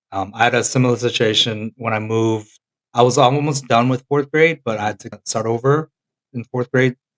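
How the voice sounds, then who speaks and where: In a fairly quick, fairly even delivery, a man with an American accent and an ordinary speaking voice talks at medium pitch. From Korea until age 10, then the US. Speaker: podcast co-host. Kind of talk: casual chat.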